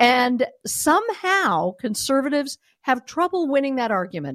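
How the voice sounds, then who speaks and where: In a very clean recording with a silent background, a woman speaks at a moderate pace with a high pitch and an animated tone, the sound dry and close with no echo. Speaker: radio host. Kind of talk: talk radio commentary, opinionated monologue; angry rant. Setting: radio studio. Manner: indignant, impassioned, emphatic; animated, talkative.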